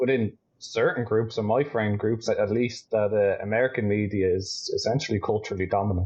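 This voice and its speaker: A man's somewhat breathy voice at a moderate pace. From Ireland, Dublin. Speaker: astrophotographer and optics business owner. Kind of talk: casual chat.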